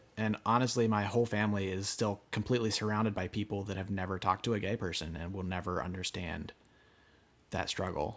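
A man with an American accent at a very fast pace, fairly low in pitch, with fairly even intonation and a quiet background. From rural Pennsylvania. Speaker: artist. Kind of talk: interview conversation. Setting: studio.

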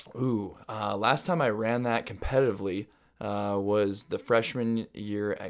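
A man with an American accent has an unremarkable speaking voice, medium in pitch with ordinary pitch variation. The recording is very clean, with a silent background. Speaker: former high school and college runner. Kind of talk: casual interview. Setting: host's home. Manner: loud.

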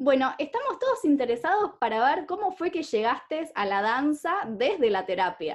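In an Argentine accent, a woman speaks at a moderate pace. Her high pitch makes very wide swings. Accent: Argentine (Rioplatense) Spanish. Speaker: podcast host and coach. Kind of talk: scripted introduction; interview.

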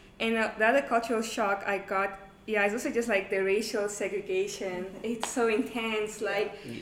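Amid noticeable background noise, a woman with a fairly high pitch speaks at a moderate pace in a monotone, flat intonation. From Namibia. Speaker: university student. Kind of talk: casual chat.

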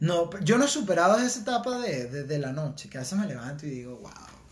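With an animated tone, a man talks at a very fast pace in a high voice, with very wide pitch swings and big swings in loudness, over noticeable background noise. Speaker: podcast co-host. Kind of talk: casual chat.

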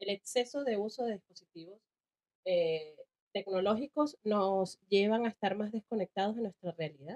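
In a plain, everyday voice, a woman speaks at a moderate pace with a fairly high pitch, the sound dry and close with no echo. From Venezuela, Caracas. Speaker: podcast co-host. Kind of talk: casual chat.

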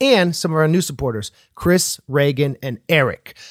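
A man with an ordinary speaking voice talks at a moderate pace and fairly high pitch, with lively intonation. The sound is dry and close with no echo, in a very clean recording with a silent background. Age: 30s. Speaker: podcast host and rapper. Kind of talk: podcast interview; podcast intro.

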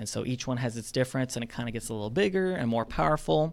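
Someone with an Alabama accent is heard on a very clean recording with a silent background. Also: man. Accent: Southern US (Alabama). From North Alabama, US South. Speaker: aerospace engineer. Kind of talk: casual interview.

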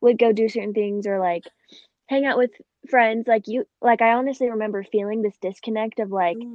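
Delivered at a fairly quick pace, this is a normal speaking voice with fairly even intonation. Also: woman. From Phoenix, Arizona. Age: 20s. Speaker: podcast host and college student. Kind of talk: casual interview.

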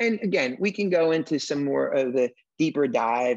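A man at a moderate pace, with very wide pitch swings, in a dry, close sound with no echo. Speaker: podcast host. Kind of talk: interview on business podcast.

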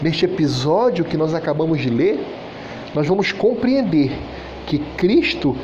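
Against noticeable background noise and audible room echo, a man speaks at a high pitch. His intonation is lively and his pace fairly slow. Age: 40s. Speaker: preacher. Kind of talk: sermon.

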